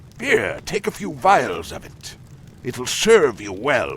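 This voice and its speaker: A man's put-on character voice at a very slow pace over clear background noise. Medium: video game.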